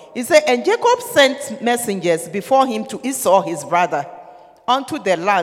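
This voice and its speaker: The speaker's tone is animated and the pace moderate, with noticeable background noise behind the speech. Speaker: preacher. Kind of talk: sermon. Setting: church.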